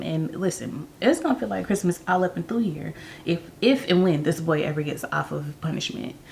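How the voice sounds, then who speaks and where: A woman whispers over clearly audible background noise, keeping to an even, middling pace. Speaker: vlogger. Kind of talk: casual vlog talk to camera. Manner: animated; whispering.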